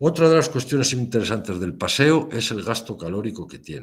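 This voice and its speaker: A man's normal speaking voice at a moderate pace, lively in intonation, in a very clean recording with a silent background. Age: 60s. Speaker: lecturer. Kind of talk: lecture.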